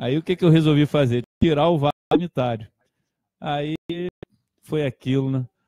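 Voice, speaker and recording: This man talks at a moderate pace with long, frequent pauses and a fairly high pitch. His pitch varies ordinarily, the sound is dry with no echo, and the background is quiet. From Brazil (Portuguese-born, arrived at age 5). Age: 50s. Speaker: motorcycle club director. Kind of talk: casual live radio interview. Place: home room.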